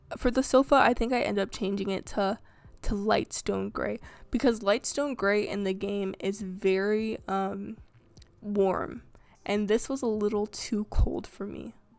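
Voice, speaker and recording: In a very clean recording with a silent background, a woman speaks at a fairly slow pace, her medium-pitched voice showing ordinary pitch variation. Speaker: game building video creator. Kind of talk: voiceover narration of gameplay building. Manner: hesitant, many fillers and stumbles; casual, conversational.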